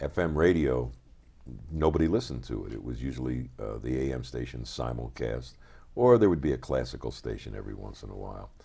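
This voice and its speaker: A man with an American accent speaks at a fairly quick pace in a very deep, low pitch, his dark, mellow tone marked by vocal fry, ordinary pitch variation and big swings in loudness. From US, Philadelphia. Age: 60s. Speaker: record producer. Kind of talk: interview. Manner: casual.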